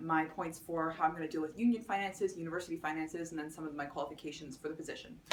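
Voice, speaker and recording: Amid noticeable background noise, a woman with a fairly low voice speaks in a Canadian accent. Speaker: student election candidate. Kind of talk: campaign speech. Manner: fast; many filler words and restarts.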